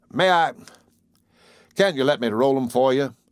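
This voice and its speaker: A man's strained, put-on character voice at a medium pitch, with moderate pace and ordinary pitch variation. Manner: lazy, strained.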